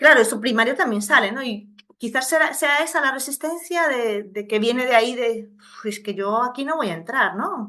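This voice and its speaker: A woman's high-pitched voice, bright and sharp in tone, with lively intonation, a moderate pace and hardly any pauses. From Venezuela. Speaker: podcast host, interviewer. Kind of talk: casual interview conversation. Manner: halting, many false starts and fillers.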